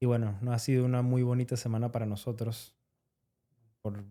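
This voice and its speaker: In a Venezuelan accent, a man speaks at a moderate pace and medium pitch, his dark, mellow tone held in a monotone, flat delivery. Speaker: podcast co-host, roofer. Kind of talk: casual podcast conversation.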